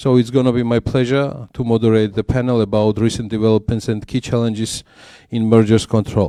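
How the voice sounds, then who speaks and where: A man's medium-pitched voice in a Georgian accent, dark and mellow in tone, monotone and flat, at a fairly quick pace, dry and close with no echo against a quiet background. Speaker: panel moderator and business journalist. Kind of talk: conference panel moderation. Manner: hesitant, many filler sounds.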